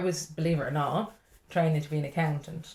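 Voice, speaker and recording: Somewhat breathy and dark, mellow in tone, the voice moves at a very fast pace. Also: woman. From Ireland. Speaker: stand-up comedian. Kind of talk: podcast interview answer. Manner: lively, chatty.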